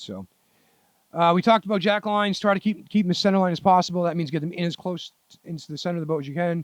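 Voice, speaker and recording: A man at a very fast pace and high pitch, in a dry, close sound with no echo. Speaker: solo sailor vlogger. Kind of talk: casual tutorial monologue.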